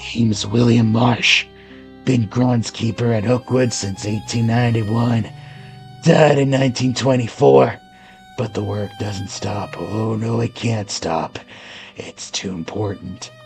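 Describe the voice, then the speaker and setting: Over clear background music, a man does a raspy put-on character voice at medium pitch and a fairly slow pace. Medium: read story. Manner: clipped, folksy, drops words.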